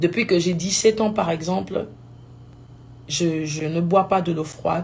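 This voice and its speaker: A woman's somewhat breathy, fairly low voice at a very slow pace, with fairly even intonation. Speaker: gospel singer. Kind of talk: live video talk. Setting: live stream.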